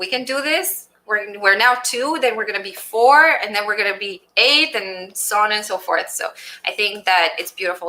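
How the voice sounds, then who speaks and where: A woman's fairly high, bright, sharp voice with a Romanian accent, lively intonation and a moderate pace. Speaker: general contractor and business owner. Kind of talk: interview.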